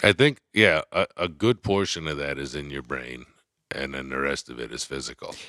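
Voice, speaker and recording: A man with an American accent speaks in a very deep, low pitch with vocal fry and lively intonation. His tone is bright and sharp, and the sound is dry and close with no echo. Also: moderate pace. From New York. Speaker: comedian and actor. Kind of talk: casual chat.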